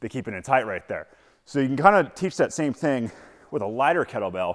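Over a quiet background, a man talks at a moderate pace. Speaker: kettlebell coach. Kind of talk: tutorial. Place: gym.

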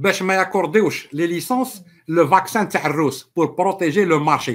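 Against a quiet background, a man speaks in a high pitch with ordinary pitch variation. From Algeria. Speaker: political commentator. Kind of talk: live stream political monologue. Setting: live stream with viewers. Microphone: webcam.

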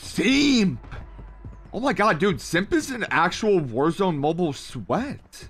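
A man with an American accent talks at a very slow pace, his high pitch swinging very widely. His loudness stays very even, with faint music in the background. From Ohio, US Midwest. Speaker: gaming streamer. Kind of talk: live gameplay commentary. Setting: live stream. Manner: animated. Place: home room. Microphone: studio mic.

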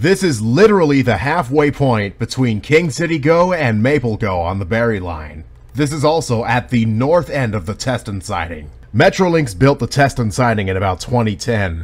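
Sweeping through very wide pitch swings, a man speaks at a moderate pace with vocal fry. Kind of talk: casual commentary. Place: open country.

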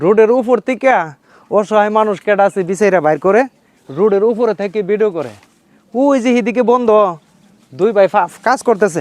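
The man's high voice carries ordinary pitch variation. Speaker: video blogger. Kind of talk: vlog narration with on-the-spot interview. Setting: outdoors in hot sun by a field.

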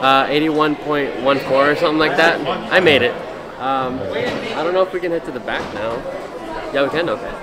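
A man speaks at a fairly quick pace with ordinary pitch variation. Loud background noise fills the recording. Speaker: powerlifter vlogger. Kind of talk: casual vlog chat. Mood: relaxed, upbeat.

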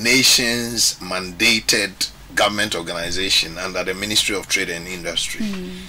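Light background noise behind a man talking at a moderate pace. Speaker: guest. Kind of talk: interview answer. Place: studio. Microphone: studio mic.

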